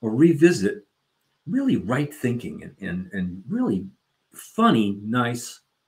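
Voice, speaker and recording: A man speaks at a very slow pace in a medium pitch, his voice somewhat breathy, with big swings in loudness and very wide pitch swings. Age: 70s. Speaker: podcast co-host. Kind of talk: casual chat. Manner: animated.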